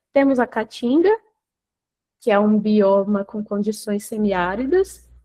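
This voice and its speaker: A woman with a Brazilian accent, a dark, mellow tone and a fairly slow pace. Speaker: researcher presenting at a webinar. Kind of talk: technical presentation.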